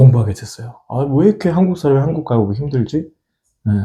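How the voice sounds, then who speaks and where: This man talks at a fairly quick clip, his pitch fairly high for a man, his tone dark and mellow with a somewhat breathy quality. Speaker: opera singer and church choir conductor. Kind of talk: interview. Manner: halting, with fillers.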